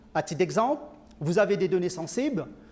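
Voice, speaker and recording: A man speaks with a Mauritian accent. His intonation is lively. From Mauritius. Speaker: IT consulting director. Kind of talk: conference talk. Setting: conference with audience. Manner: hesitant, many filler sounds.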